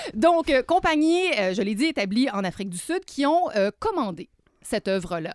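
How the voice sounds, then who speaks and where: The pitch swings very widely at a moderate pace. The sound is dry and close, with no echo. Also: woman, high pitch for a woman. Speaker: dance and visual arts columnist. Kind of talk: cultural review.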